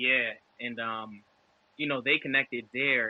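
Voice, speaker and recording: A man with a New York accent, medium pitch, monotone, flat intonation and a fairly slow pace. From Brooklyn, New York. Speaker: former college defensive back, football trainer. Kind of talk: podcast interview answer. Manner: casual.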